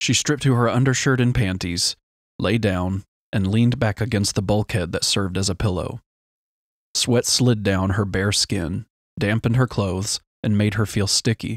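A man's fairly low voice at a moderate pace, with ordinary pitch variation and very even loudness, in a very clean recording with a silent background and a dry, close sound with no echo. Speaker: audiobook narrator. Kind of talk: audiobook narration of a sci-fi novel, read aloud with character voices. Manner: expressive, dramatic reading with distinct character voices; shifts from measured narration to tense dialogue.

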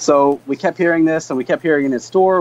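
A man's fairly high voice, a normal speaking voice with ordinary pitch variation. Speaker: beverage company co-founder. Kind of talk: interview. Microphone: video call.

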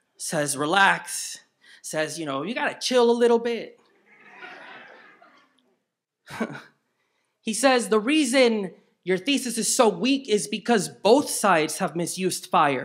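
Long, frequent pauses break up a man's speech. His pitch swings very widely against a quiet background. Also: fairly slow pace. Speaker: performance poet. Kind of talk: spoken word poetry performance. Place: stage. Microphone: handheld.

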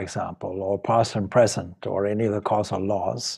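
The voice belongs to a man with a dark, mellow tone. He talks at a fairly slow pace. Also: quiet background. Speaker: spiritual teacher. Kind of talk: lecture. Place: home room. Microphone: video call.

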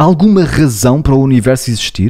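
The intonation here is lively. A man talks at a moderate pace. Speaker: psychologist and podcast co-host. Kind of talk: casual chat. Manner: loud, declamatory.

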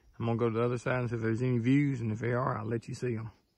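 A man's very fast, monotone voice with flat intonation, in a dry sound with no echo over a quiet background. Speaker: thru-hiker vlogger. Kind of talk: casual vlog chat. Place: forest. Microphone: phone near.

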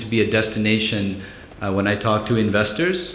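Audible room echo and light background noise surround a man who speaks at a moderate pace in a fairly low voice with fairly even intonation. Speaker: panel moderator. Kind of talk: conference session introduction. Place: hall. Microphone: podium.

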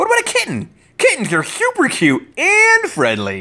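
At a moderate pace, someone speaks in a put-on character voice. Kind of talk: storybook read-aloud with character voices. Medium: read story. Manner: bubbly, eager, rambling. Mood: cheerful.

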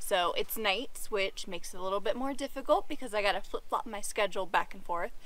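A woman talks very fast with hardly any pauses, her pitch fairly high. The sound is dry, with no echo. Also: ordinary pitch variation. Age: 20s. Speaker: travel nurse assistant and vlogger; vlogger. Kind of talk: casual chat. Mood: animated, a bit exasperated.

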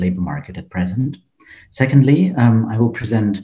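Against a quiet background, a man with a dark, mellow tone and a somewhat breathy voice talks at a fairly quick pace with ordinary pitch variation. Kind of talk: conference presentation. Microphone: webcam.

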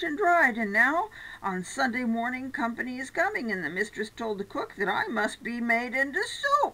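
A woman's raised, projected voice, bright and sharp in tone, with very wide pitch swings. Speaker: storyteller. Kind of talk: reading a story aloud. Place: home room. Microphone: webcam.

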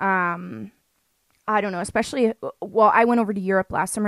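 A woman with a Canadian accent uses an ordinary speaking voice, ordinary pitch variation, a quiet background and a dry sound with no echo. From Canada. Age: 20s. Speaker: podcast host. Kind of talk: casual chat. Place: home room. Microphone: studio mic.

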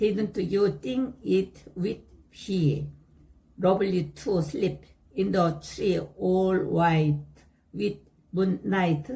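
A woman speaks at a very slow pace with long, frequent pauses. Her dark, mellow voice has vocal fry, a medium pitch and ordinary pitch variation. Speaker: English learner. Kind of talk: reading aloud.

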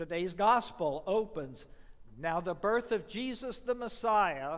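A man at a fairly slow pace, high-pitched. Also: quiet background. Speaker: preacher. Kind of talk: sermon. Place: church.

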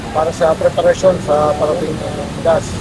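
A man is talking, and noticeable background noise can be heard behind him. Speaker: police commander. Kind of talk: field operation commands and interview. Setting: outdoors.

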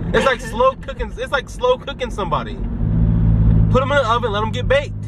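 Loud background noise surrounds a man talking at a very fast pace, the sound itself dry with no echo. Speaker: vlogger. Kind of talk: casual vlog chat. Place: car. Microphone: camera far.

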